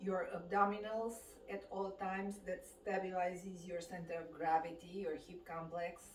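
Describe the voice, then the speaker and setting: A woman with a Romanian accent speaks in a calm tone at medium pitch with fairly even intonation and big swings in loudness, against noticeable background noise and audible room echo. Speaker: fitness instructor. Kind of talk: guided exercise class. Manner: calm, slow.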